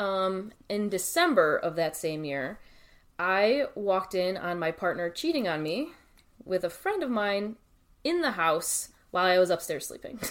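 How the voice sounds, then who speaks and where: On a very clean recording with a silent background, a woman talks in a plain, everyday voice at a medium pitch, with lively intonation and a fairly slow pace. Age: 30s. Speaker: podcast guest, friend of the host. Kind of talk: casual chat.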